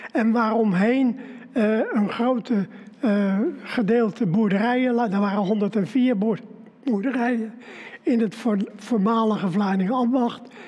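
Fairly even in intonation, a man speaks with a high pitch. His pace is very slow, with long, frequent pauses. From Netherlands, The Hague; lives in Vlaardingen. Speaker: local museum founder and author. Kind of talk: storytelling. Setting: live stream. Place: studio.

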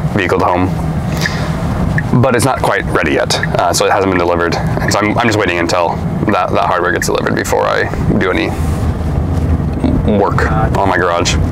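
A man talking very fast, dry with no echo, ordinary pitch variation, over loud background noise. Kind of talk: casual conversation. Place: car.

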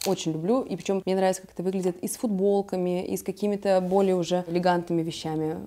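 A woman talks at a very fast pace. Her voice is fairly low, with a dark, mellow tone. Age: 30s. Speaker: fashion stylist, video blogger; video blogger. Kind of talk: casual vlog, styling tutorial. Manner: animated. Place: home room. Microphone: lapel.

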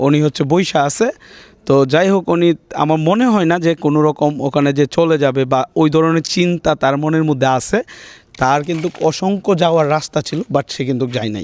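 An unremarkable speaking voice from a man, fairly high in pitch, with ordinary pitch variation and a dry, close sound with no echo. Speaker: YouTuber doing street surprise videos. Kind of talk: casual vlog narration. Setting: outdoors on street at night.

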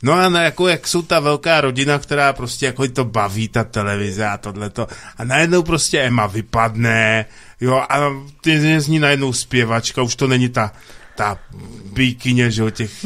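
A man speaks at a moderate pace in a bright, sharp tone with ordinary pitch variation. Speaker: radio co-host. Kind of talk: casual chat. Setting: studio. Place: studio.

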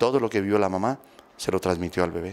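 This man has a low pitch and a slightly mellow tone. His pitch varies in an ordinary way.

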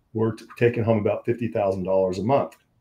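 Speaking at a fairly quick pace, a man with an American accent has a dark, mellow, somewhat breathy tone and fairly even intonation. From US Mountain West. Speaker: ministry founder and author. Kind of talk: casual interview. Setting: remote studio call. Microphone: video call.

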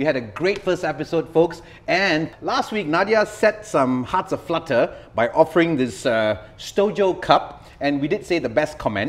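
Using lively intonation, a man speaks at a moderate pace. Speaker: talk show host. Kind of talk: talk show host monologue. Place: studio.

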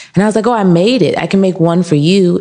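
Hers is an unremarkable speaking voice, a woman at medium pitch talking at a fairly quick pace. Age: 30s. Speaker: candle shop owner. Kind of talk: interview. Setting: in her shop.

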